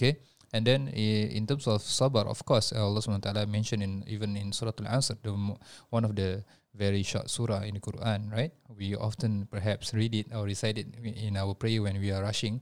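A man with a Malaysian accent, fairly low in pitch, fairly even in intonation and fairly quick in pace, on a very clean recording with a silent background. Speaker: podcast co-host and religious teacher. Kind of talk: casual chat. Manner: halting.

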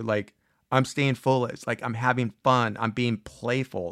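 A man with a normal speaking voice talks at medium pitch with fairly even intonation, in a very clean recording with a silent background and a dry, close sound with no echo. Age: 50s. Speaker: podcast host giving advice to students. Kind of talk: solo motivational talk. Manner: casual, conversational.

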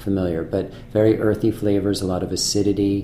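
A man speaks with audible room echo around him. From Massachusetts North Shore (Manchester). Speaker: chef. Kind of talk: interview. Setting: restaurant private room. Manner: halting, many fillers and repetitions.

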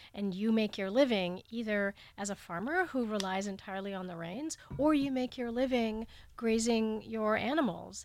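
A woman with an American accent, an unremarkable speaking voice, fairly high pitch, ordinary pitch variation and a moderate pace, on a very clean recording with a silent background. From India then Canada and Southern California. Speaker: international climate reporter. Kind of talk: interview.

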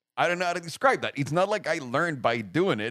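In a dry, close sound with no echo, a man speaks at a very fast pace with an animated, passionate tone and lively intonation. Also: very clean recording, silent background. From Mexico City. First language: Spanish. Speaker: podcast host, YouTuber. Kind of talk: casual chat. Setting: makeshift home studio.

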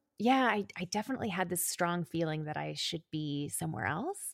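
A woman with a Canadian accent speaks at a fairly quick pace and a fairly low pitch, with vocal fry. The recording is very clean with a silent background and a dry, close sound with no echo. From Calgary, Canada. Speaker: podcast co-host and brand lead. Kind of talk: casual interview chat.

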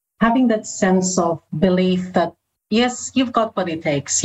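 A woman with a Filipino accent speaks at medium pitch and a fairly slow pace. Her voice is somewhat breathy, with lively intonation. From Philippines. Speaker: communications and engagement leader. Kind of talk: casual interview chat.

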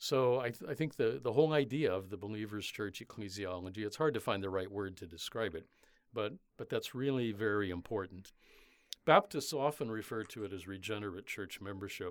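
A man with an American accent talks at a fairly quick pace, his fairly low pitch showing ordinary variation. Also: very clean recording, silent background. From US Midwest, Indiana. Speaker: retired theology professor. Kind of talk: interview. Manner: halting, many fillers and repetitions.

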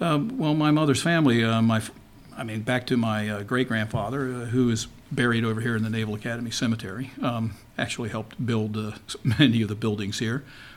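A man's normal speaking voice, fairly quick, at a medium pitch with fairly even intonation. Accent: American. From Baltimore, Maryland (Dundalk). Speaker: retired naval intelligence officer. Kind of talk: interview.

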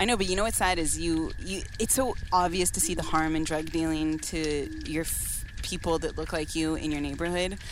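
With hardly any pauses, a woman keeps talking over noticeable background noise. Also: moderate pace. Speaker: podcast co-host. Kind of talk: casual chat.

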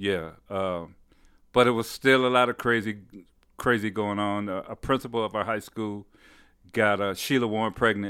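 At a moderate pace broken by long, frequent pauses, a man with an American accent speaks in a fairly low pitch and fairly even intonation, on a very clean recording with a silent background. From Detroit, Michigan. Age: 60s. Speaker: bass player, musician. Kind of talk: casual interview chat. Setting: home studio.

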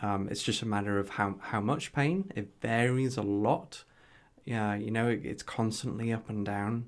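In a Geordie accent, a man speaks at a moderate pace with fairly low pitch and fairly even intonation. The recording is very clean, with a silent background. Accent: Geordie, northeast English. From northeast England. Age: 30s. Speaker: health tech entrepreneur with ankylosing spondylitis. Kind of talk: casual interview chat.

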